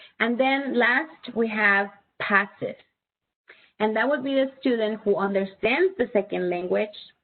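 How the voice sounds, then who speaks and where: With a Spanish accent, a woman speaks at a fairly slow pace in a fairly high voice, her loudness very even. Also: ordinary pitch variation. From Spanish-speaking country. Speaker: presenter for parents. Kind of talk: webinar presentation.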